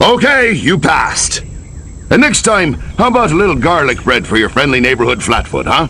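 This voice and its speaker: Doing a put-on character voice, a man sounds gruff and fairly high-pitched, keeping very even loudness at a moderate pace over clear background noise. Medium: video game. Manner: gruff, wisecracking.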